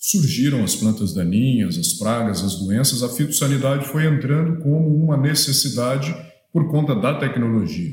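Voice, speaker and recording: A fairly high-pitched man's voice with lively intonation, very even loudness and hardly any pauses, amid noticeable background noise and audible room echo. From Minas Gerais, Brazil. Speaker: agronomy professor. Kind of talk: lecture.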